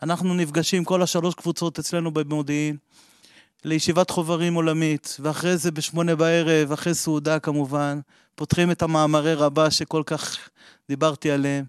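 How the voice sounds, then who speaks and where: Against a quiet background, a man with a fairly high pitch speaks at a moderate pace in a monotone, flat way. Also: dry, close sound with no echo. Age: 40s. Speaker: member of a Kabbalah study group. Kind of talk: personal testimony.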